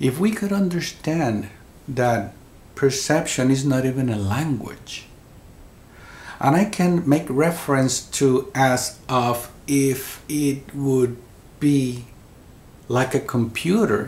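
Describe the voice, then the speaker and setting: Speaking in a Spanish accent, a man uses a medium pitch with ordinary pitch variation and a somewhat breathy voice. His pace is very slow, with long, frequent pauses. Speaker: near-death experiencer. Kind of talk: interview. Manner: halting, repeats words.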